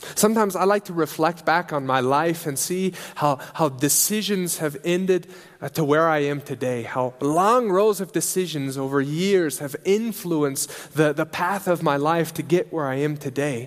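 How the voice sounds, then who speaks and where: Here a man talks at a moderate pace in a normal speaking voice. His pitch sits fairly high, with ordinary variation. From US Midwest, Nebraska. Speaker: missionary preacher. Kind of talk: sermon. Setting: church service.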